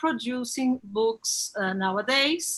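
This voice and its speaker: Against a quiet background, a woman with a Brazilian accent speaks very slowly in a high-pitched, bright, sharp tone. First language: Portuguese. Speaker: bookseller and event host. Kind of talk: panel introduction. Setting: live stream from own shop. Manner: halting.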